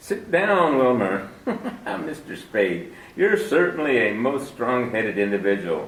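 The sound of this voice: A man puts on a character voice at a medium pitch, slow and fairly bright in tone. His pitch swings widely, and the room echoes strongly.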